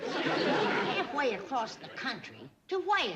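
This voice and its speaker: She uses a put-on character voice, pitched high with very wide swings. Her pace is very slow. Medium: short film. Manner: sharp, bossy.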